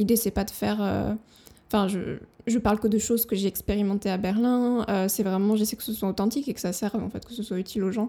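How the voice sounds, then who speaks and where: A woman with a dark, mellow tone and medium pitch talks at a fairly quick pace in a monotone, flat intonation. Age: 30s. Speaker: freelance web writer and blogger. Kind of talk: casual interview chat. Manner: hesitant, many fillers.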